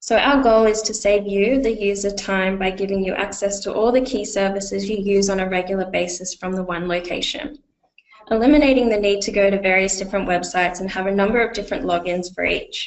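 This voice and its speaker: At a fairly quick pace, a woman with an Australian accent speaks at medium pitch and with fairly even intonation. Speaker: client success manager presenting a software webinar. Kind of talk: webinar presentation. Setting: online webinar.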